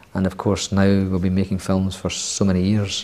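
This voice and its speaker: With a strong Scottish accent, a man talks at a fairly quick pace in a fairly low voice. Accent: Scottish, thick. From Scotland. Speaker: screenwriter. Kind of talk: interview.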